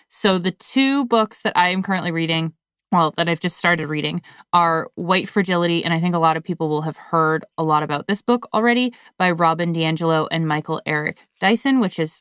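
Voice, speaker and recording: In an American accent, the speaker talks at a fairly quick pace with an anxious tone. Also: woman. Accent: slight Canadian, sounds mostly American. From Canada. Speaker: podcast co-host. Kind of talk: casual chat. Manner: anxious about recording.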